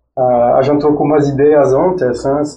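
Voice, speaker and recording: This is a man with a French accent. His pitch is fairly high. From France. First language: French (speaking Portuguese). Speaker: former track cyclist and engineer. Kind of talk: podcast interview. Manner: halting.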